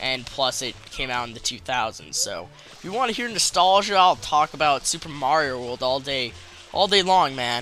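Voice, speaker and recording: Over noticeable background noise, a man with a fairly high pitch speaks at a moderate pace with lively intonation. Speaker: gaming commentator. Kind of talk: let's play post commentary. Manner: halting, stammering; casual, swears.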